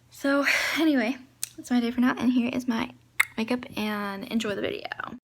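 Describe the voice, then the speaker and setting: A woman's high-pitched voice at a fairly quick pace, fairly even in intonation, over noticeable background noise. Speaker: vlogger. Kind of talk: casual vlog. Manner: hushed.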